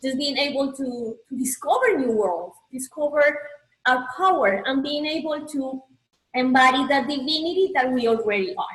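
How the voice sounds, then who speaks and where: A woman's high pitch and lively intonation at a moderate pace, with a Colombian accent. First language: Spanish. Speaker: spiritual coach and healer. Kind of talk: motivational presentation.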